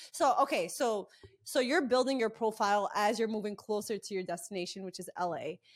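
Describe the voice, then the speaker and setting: The delivery is animated and fairly quick. Intonation stays lively throughout. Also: woman, fairly high pitch for a woman. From US, Egyptian family. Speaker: podcast host, comedy content creator. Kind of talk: casual interview chat.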